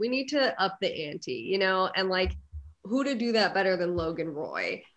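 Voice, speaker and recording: A woman talks at a moderate pace and medium pitch. Her pitch swings very widely. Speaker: actor and content creator. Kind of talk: casual chat.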